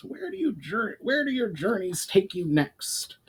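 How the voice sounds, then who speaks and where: A man puts on a character voice with a high pitch. His pitch swings very widely. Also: moderate pace. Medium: read story. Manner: formal, commanding.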